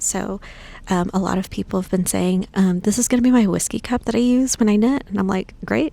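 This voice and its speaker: A woman with a medium-pitched, dark and mellow voice speaks somewhat breathily with ordinary pitch variation. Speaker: ceramic artist and vlogger. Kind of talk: vlog at a vendor booth. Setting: market hall at a knitting retreat.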